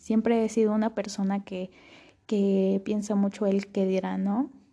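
A woman speaks at a fairly slow pace with a medium pitch. Her voice is somewhat breathy with a dark, mellow tone. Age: young. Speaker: podcast host. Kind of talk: personal monologue.

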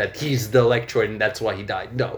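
A man speaks with a non-native accent. His pace is very fast. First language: not English. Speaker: podcast co-host. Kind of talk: casual chat, storytelling.

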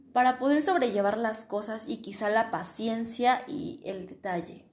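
A woman with a fairly high pitch talks fairly slowly, her pitch varying in an ordinary way. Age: 20s. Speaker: logistics engineering student. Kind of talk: solo podcast monologue. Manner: hesitant, many fillers.

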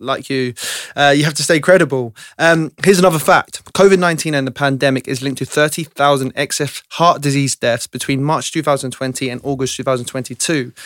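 A man with a normal speaking voice talks at a fairly quick pace and fairly high pitch, his intonation fairly even, in a dry, close sound with no echo. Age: 20s. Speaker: podcast host, personal trainer. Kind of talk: interview.

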